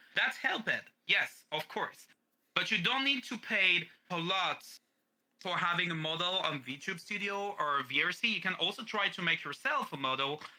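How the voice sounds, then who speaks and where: Lively intonation runs through this voice at a moderate pace. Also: man, high pitch for a man. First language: French. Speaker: streamer and voice actor. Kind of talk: interview. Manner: halting.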